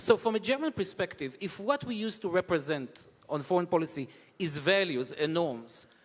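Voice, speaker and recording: A man talks at a moderate speed. The background is silent on this very clean recording. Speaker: conference moderator. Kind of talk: onstage interview. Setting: conference stage with audience.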